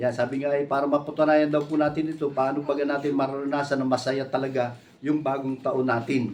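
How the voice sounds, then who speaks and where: Fairly quick, monotone male speech with flat intonation and audible room echo. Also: hardly any pauses. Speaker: preacher. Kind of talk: sermon. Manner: conversational, many fillers.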